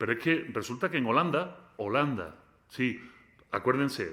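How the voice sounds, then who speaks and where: At a moderate pace, a man speaks in a bright, sharp tone with ordinary pitch variation on a very clean recording with a silent background. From Spain. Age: 40s. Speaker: philosopher. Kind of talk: lecture. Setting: lecture hall with student audience. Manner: animated.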